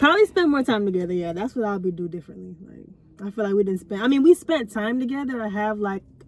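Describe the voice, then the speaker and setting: Soft-spoken and very fast, a woman talks with ordinary pitch variation. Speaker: vlogger. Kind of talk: casual chat.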